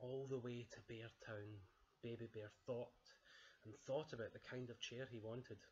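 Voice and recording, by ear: The voice is reading aloud in a natural voice, with fairly even intonation.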